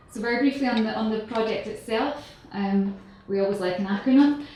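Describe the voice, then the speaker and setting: The pace of this woman's speech is moderate. Room echo can be heard, along with noticeable background noise. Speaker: sustainability researcher. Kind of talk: conference presentation. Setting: conference stage with audience. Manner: hesitant, many fillers.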